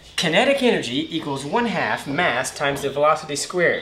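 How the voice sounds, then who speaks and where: A man talks at a fairly high pitch with ordinary pitch variation. Noticeable background noise runs underneath. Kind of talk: comedic audition monologue to camera.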